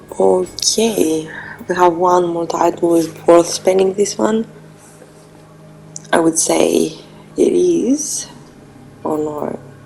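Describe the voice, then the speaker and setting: Over noticeable background noise, a woman speaks very slowly with long, frequent pauses. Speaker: gaming streamer. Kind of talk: let's play commentary. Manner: casual, hesitant with fillers.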